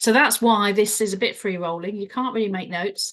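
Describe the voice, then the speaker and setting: The woman's delivery moves at a fairly quick pace. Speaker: leadership coach. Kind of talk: solo live stream talk. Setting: solo video recording. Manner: fast; hesitant, many fillers.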